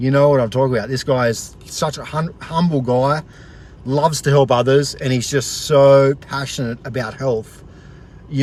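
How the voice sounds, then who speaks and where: In an Australian accent, a man speaks at a fairly quick pace and medium pitch, sounding energetic and enthusiastic over noticeable background noise. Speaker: motivational vlogger. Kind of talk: casual vlog, motivational talk. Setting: outdoors at the beach, live stream. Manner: fast; energetic, enthusiastic.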